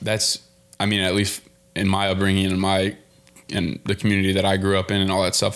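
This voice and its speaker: Over background music, a man with a fairly low pitch speaks at a very fast pace. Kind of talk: podcast host conversation.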